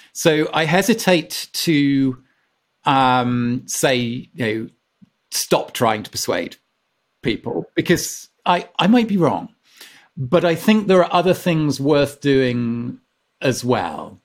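Speaking with an English accent at a very slow pace, the voice takes very wide pitch swings and long, frequent pauses on a very clean recording with a silent background. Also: man, fairly high pitch for a man. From England. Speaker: author and former climate campaigner. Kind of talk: casual chat.

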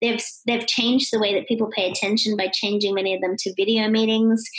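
An Australian accent marks this woman's fairly high voice, which moves at a fairly quick pace in a monotone with flat intonation. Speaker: keynote speaker and author. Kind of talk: interview. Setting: remote call.

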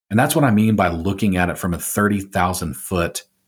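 Speaking at a moderate pace, a man's very deep, low voice shifts in pitch in an ordinary way on a very clean recording with a silent background. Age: 40s. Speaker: podcast host and pastor. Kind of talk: scripted monologue intro; interview conversation.

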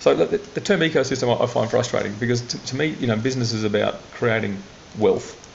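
Over noticeable background noise, a man with an Australian accent talks at a fairly quick pace and medium pitch with lively intonation. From Australia, central Queensland. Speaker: tech startup investor. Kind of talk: interview. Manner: halting.

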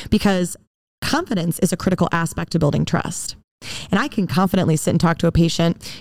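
A woman at a very fast pace and in an animated tone, on a very clean recording with a silent background. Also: fairly low pitch for a woman, ordinary pitch variation, very even loudness. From Wisconsin. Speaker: dental hygienist and educator. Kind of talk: casual chat. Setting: studio.

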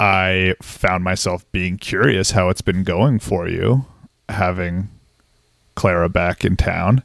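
A man with an American accent speaks at a very slow pace. His pitch is very deep and low, with ordinary variation. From Massachusetts. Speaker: psychiatrist. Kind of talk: casual chat. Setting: video call.

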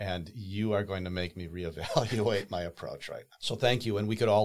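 A man with an American accent speaks in a normal speaking voice, fairly low in pitch with ordinary variation, at a moderate pace. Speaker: podcast host. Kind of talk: interview conversation.

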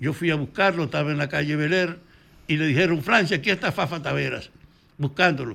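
A man with a fairly high pitch, vocal fry and a bright, sharp tone talks at a fairly quick pace with ordinary pitch variation. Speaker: former political activist. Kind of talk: interview.

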